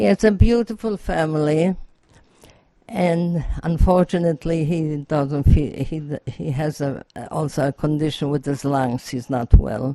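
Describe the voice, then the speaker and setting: A woman's very deep, low voice, dark and mellow, at a fairly slow pace, with ordinary pitch variation and big swings in loudness. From Poland. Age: 90s. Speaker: Holocaust survivor. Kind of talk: testimony. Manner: halting.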